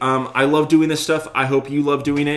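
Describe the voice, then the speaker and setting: Fairly high in pitch, a man talks in a plain, everyday voice at a moderate pace. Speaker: web design screencast host. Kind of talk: live tutorial screencast. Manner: many fillers and restarts.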